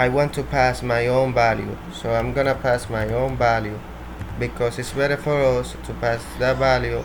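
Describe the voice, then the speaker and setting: A man speaks at a moderate pace in a Spanish accent. There is audible room echo along with noticeable background noise. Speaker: programming tutorial creator. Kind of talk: tutorial. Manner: halting, with repetitions.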